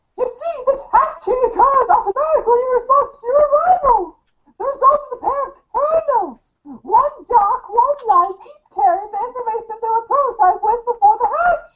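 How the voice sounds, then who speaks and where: This is a put-on character voice, squeaky and extremely high in pitch. The pace is moderate. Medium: audio drama. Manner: warm, grandmotherly, calls the listener dear.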